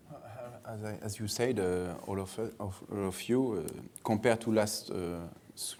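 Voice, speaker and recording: A man with a French accent, fairly low in pitch, with a dark, mellow tone, fairly even intonation, a moderate pace and audible room echo. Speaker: hotel real estate investment executive. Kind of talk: conference panel discussion. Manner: halting, many hesitations.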